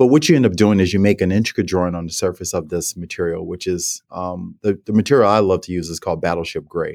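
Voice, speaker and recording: In a New Orleans accent, a man with a very deep, low voice and ordinary pitch variation talks very fast, recorded dry and close with no echo, very clean, over a silent background. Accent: New Orleans American English. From New Orleans, US South. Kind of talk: interview conversation.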